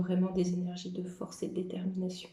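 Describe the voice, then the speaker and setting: A woman talks at a fairly quick pace in a somewhat breathy voice with a dark, mellow tone. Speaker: medium doing card readings. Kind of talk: tarot-style card reading monologue. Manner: hesitant, with frequent fillers.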